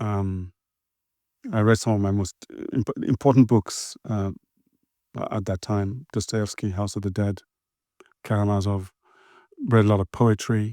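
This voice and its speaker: With a dark, mellow tone and a fairly low pitch, a man speaks in a monotone, flat way at a fairly slow pace with long, frequent pauses. The very clean recording has a silent background and a dry, close sound with no echo. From Nigeria. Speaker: novelist. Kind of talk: interview answer. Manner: hesitant, reflective.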